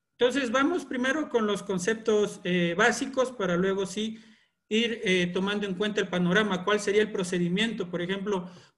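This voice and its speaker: A man speaks with a high pitch. Audible room echo surrounds his voice. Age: 30s. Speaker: environmental engineer and course trainer. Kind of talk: online lecture. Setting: video call. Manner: hesitant with filler sounds.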